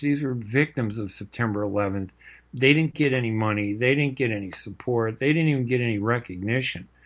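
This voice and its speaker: Against a quiet background, a man speaks with an American accent at a fairly quick pace. His pitch is medium, with ordinary variation. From US Midwest, Chicago. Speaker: radio host and journalist. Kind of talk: live radio talk show monologue. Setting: radio studio. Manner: casual, filler-heavy speech.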